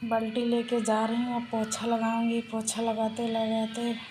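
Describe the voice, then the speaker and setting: A soft-spoken woman speaks at a fairly high pitch. Music plays in the background, and audible room echo is present. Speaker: vlogger. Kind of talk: casual vlog chat. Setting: at home doing chores.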